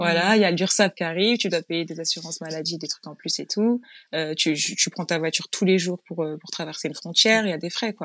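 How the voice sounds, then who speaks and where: A woman with an ordinary speaking voice talks at a fairly quick pace, with a fairly low pitch and fairly even intonation. The sound is dry and close with no echo, in a very clean recording with a silent background. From Île-de-France, Yvelines. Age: 30s. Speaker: interior decorator and entrepreneur. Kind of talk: interview.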